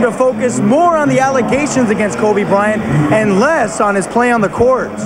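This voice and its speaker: Energetic and fairly quick, a man speaks at an extremely high pitch. Noticeable background noise is present. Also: hardly any pauses. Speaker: bilingual TV news reporter and anchor. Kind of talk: TV news reporter delivery, demo reel. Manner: energetic, polished broadcast delivery.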